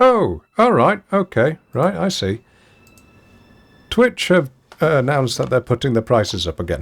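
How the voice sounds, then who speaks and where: This man speaks at a moderate pace in a medium pitch, with very wide pitch swings, vocal fry, and long, frequent pauses. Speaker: game streamer. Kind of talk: live gameplay commentary. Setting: live stream.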